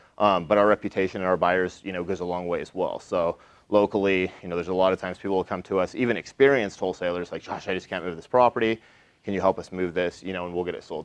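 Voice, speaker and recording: At a very fast pace, a man speaks in a very deep, low pitch, the sound dry and close with no echo and the background quiet. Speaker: real estate wholesaler. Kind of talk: talk at a meetup. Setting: room with live audience. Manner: loud; casual, filler-heavy.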